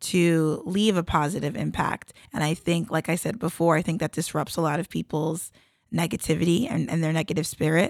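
A woman with an American accent and an ordinary speaking voice, fairly low in pitch, with fairly even intonation at a fairly quick pace, in a very clean recording with a silent background. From South Jersey, US. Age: 30s. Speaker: Olympic athlete and entrepreneur. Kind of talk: interview.

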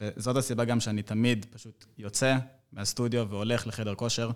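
A man talks in an unremarkable speaking voice at a medium pitch with fairly even intonation. The recording is very clean, with a silent background. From Israel. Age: 20s. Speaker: fitness trainer. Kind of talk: casual chat.

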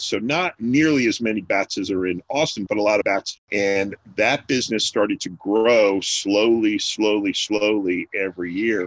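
The man has an unremarkable speaking voice with a fairly low pitch and ordinary pitch variation. At a moderate pace he hardly pauses, and the sound is dry and close with no echo. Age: 50s. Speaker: restaurant owner. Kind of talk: interview. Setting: remote call from home.

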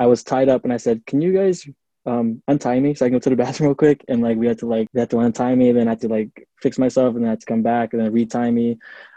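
Speaking with an American accent, a man has a dark, mellow, medium-pitched voice and fairly even intonation, recorded with a dry, close sound and no echo. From US Pacific Northwest, Seattle. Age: 20s. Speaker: adult film performer and singer. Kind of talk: casual interview.

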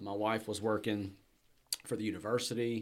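A man's fairly low voice with a Southern US accent at a fairly quick pace. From Alabama. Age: 30s. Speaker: entrepreneur. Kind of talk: interview. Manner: casual.

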